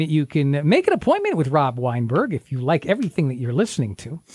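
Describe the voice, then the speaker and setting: Noticeable background noise runs behind a man speaking. His tone is warm and upbeat, his intonation lively. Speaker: radio show co-host. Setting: radio show studio. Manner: warm, chatty, upbeat, easygoing.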